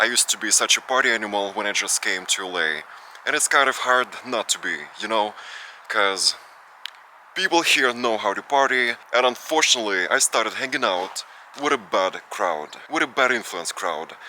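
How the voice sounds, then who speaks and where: A man's medium-pitched voice at a moderate pace, lively in intonation, over noticeable background noise. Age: 20s. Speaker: vlogger. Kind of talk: casual Q&A vlog.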